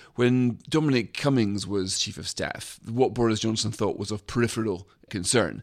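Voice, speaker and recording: Speaking with a British accent, a man keeps a moderate pace and a medium pitch with ordinary pitch variation. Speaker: magazine editor. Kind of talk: political discussion.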